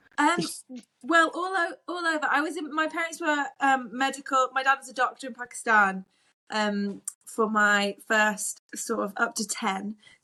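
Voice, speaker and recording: The voice is raised and projected, bright and sharp in tone, with big swings in loudness. Intonation is lively and the pace moderate. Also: woman, high pitch for a woman. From West Yorkshire. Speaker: business owner, mother. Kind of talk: podcast interview.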